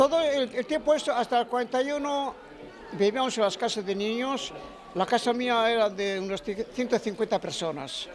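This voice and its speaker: At a moderate pace, a man talks in an extremely high pitch. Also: ordinary pitch variation. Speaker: war veteran and musician. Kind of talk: interview. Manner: halting.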